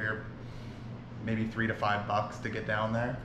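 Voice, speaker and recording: A man is speaking here. Audible room echo and light background noise surround his voice. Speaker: travel vlogger. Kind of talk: casual vlog chat. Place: home room. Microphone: camera far.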